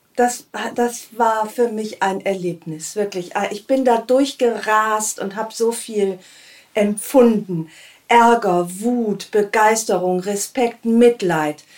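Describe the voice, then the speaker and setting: At a very slow pace, a woman speaks with a fairly high pitch. Her pitch variation is ordinary. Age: 50s. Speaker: podcast host. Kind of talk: casual chat. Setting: home studio.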